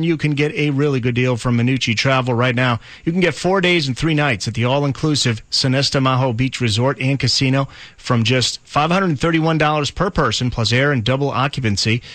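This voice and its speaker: A man with a normal speaking voice talks fairly quickly at a medium pitch. His pitch varies in an ordinary way, and his loudness stays very even. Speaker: classic rock radio DJ. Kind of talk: radio station aircheck with promos and on-air contest call. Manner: upbeat, fast-paced, friendly.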